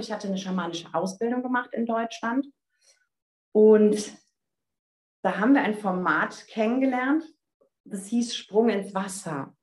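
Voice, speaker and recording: The delivery is fairly slow. Pitch moves up and down in an ordinary way. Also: woman. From Germany, North Rhine-Westphalia. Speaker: spiritual coach. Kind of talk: casual interview chat. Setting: online call.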